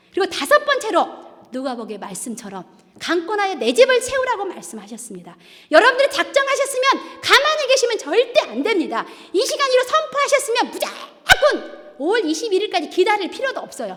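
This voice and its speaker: An extremely high-pitched woman's voice, animated in tone, at a fairly quick pace with very wide pitch swings. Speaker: church deaconess giving testimony. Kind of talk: testimony. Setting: church.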